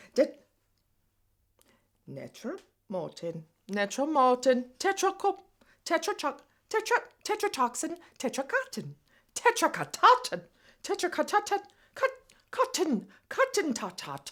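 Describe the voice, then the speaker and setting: In a put-on character voice with an Irish accent, a woman squeaks at an extremely high pitch with very wide pitch swings, speaking at a fairly slow pace with long, frequent pauses on a very clean recording with a silent background. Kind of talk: comic overacting. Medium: short film.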